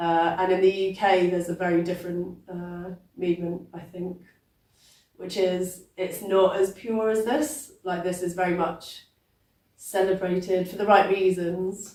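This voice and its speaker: A woman speaks at a fairly slow pace with a British accent, her pitch medium. Her tone is dark and mellow, with fairly even intonation. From England. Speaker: poet. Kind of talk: interview. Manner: hesitant, many fillers.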